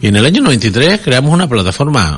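Here a man speaks at medium pitch and a moderate pace. His voice swings very widely in pitch and carries vocal fry. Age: 60s. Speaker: politician. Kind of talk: radio interview. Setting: studio.

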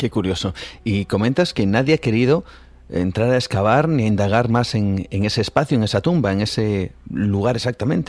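With lively intonation and a plain, everyday voice, a man talks at a moderate pace and a fairly low pitch. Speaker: radio host. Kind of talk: radio show presenting and interview.

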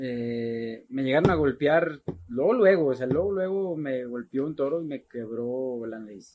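A man with an unremarkable speaking voice talks at a medium pitch and a fairly slow pace. His loudness swings widely. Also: ordinary pitch variation. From Mexico, Guadalajara, Jalisco. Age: 40s. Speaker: charro rider. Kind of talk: casual interview.

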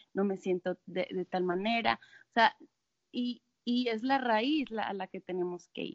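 This woman has a plain, everyday voice at a medium pitch. Her pace is fairly slow with ordinary pitch variation. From Monterrey, Mexico. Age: 20s. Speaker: life coach. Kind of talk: casual chat.

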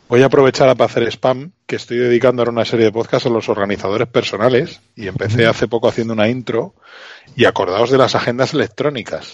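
A man at medium pitch, very fast pace and fairly even intonation. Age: 40s. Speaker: retro technology podcaster. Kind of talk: casual chat.

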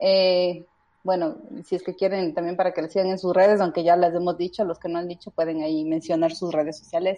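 At a fairly quick pace, a woman speaks with fairly even intonation and a fairly low pitch. Hers is a plain, everyday voice. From Ecuador. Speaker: podcast host. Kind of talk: casual group chat.

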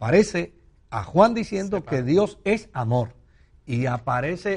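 A man speaks at a high pitch with very wide pitch swings and a dark, mellow tone. His pace is very slow, and the background is quiet. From Puerto Rico. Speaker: pastor and broadcast host. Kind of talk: religious Q&A call-in program.

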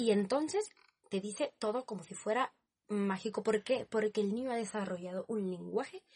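A woman's somewhat breathy voice sits at a fairly high pitch in a dry, close sound with no echo. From Spain, Barcelona. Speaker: student. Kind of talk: casual chat.

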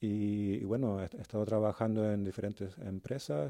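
This man has a dark, mellow tone and a fairly low pitch. He speaks at a fairly slow pace. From Canary Islands, Spain. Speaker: car designer. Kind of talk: interview.

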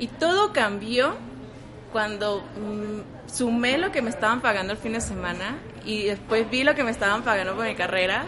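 A woman with fairly high pitch and ordinary pitch variation, moderate pace, long, frequent pauses, and noticeable background noise. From Venezuela. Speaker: photographer. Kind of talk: interview.

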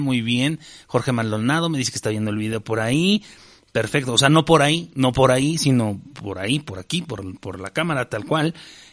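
Speaking with a Mexican accent, a man has a bright, sharp tone and lively intonation at a fairly quick pace. The background is quiet. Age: 40s. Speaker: podcast host and stand-up comedian. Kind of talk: casual chat.

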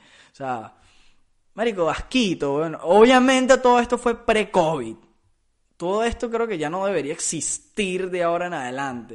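A man with a Venezuelan accent speaks at a high pitch with very wide pitch swings. His pace is moderate, and the background is quiet. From Venezuela (Caracas). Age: 20s. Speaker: podcast host. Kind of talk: casual monologue. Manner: halting, with repetitions.

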